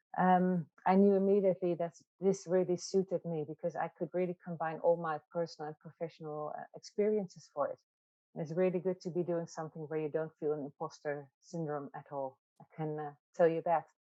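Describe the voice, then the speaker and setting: A woman with a Dutch accent, fairly low-pitched, with fairly even intonation and a fairly quick pace. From Netherlands. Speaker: psychiatrist and wellbeing facilitator. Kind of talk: webinar interview. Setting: online webinar.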